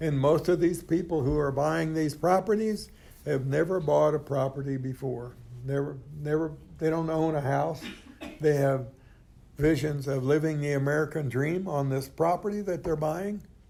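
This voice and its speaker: A man's fairly high, dark, mellow voice at a moderate pace, fairly even in intonation, with audible room echo. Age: 80s+. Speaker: AA speaker sharing recovery story. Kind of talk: testimony. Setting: stage with audience. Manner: halting, frequent repetitions.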